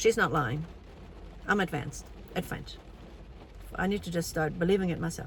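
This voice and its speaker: A woman with lively intonation. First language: German. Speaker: language teacher. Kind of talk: casual vlog commentary reading AI output. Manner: hesitant, many fillers.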